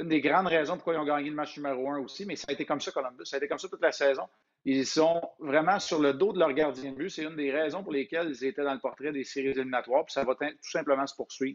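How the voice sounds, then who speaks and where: A man's very fast speech at a fairly high pitch. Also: ordinary pitch variation. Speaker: former NHL goaltender, hockey analyst. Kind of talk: casual hockey discussion. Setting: video call.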